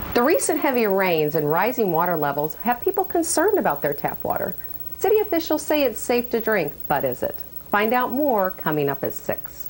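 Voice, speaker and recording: With noticeable background noise, a woman speaks at a fairly high pitch and a fairly quick pace, her pitch swinging very widely while her loudness stays very even. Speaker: television news reporter. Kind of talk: TV news reporting.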